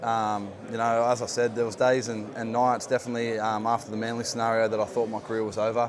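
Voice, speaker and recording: A man with an Australian accent speaks at a very fast pace and medium pitch with fairly even intonation, over noticeable background noise. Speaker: rugby league player. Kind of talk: interview. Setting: playoffs media day at a stadium.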